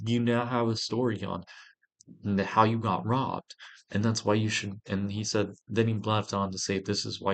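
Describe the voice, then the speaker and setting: A man's fairly quick speech in a monotone, flat intonation over a quiet background. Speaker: vlogger. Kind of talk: casual monologue vlog.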